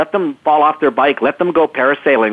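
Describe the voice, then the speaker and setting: A man with a Canadian accent talks at a fairly quick pace in a plain, everyday voice. His pitch is fairly high, with ordinary variation. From Canada. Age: 50s. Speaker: motivational speaker. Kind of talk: interview.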